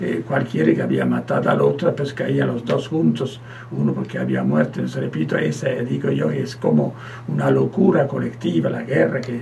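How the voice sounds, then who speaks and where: Amid noticeable background noise, a man with a very deep, low pitch talks at a moderate pace while swinging his pitch very widely. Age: 70s. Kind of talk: radio interview, personal testimony. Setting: radio studio. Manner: halting, many repetitions and false starts.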